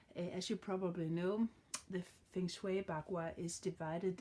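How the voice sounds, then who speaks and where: A woman's dark, mellow tone at a fairly low pitch, with a Danish accent, fairly even intonation and noticeable background noise. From Denmark. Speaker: card reader. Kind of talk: tarot reading tutorial. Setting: home with dog. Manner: halting, many fillers. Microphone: phone near.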